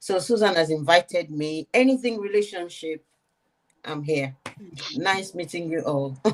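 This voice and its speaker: A woman with a Nigerian accent speaks at a moderate pace and a fairly low pitch. Her intonation is lively, broken by long, frequent pauses. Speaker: relationship content creator. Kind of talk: panel discussion.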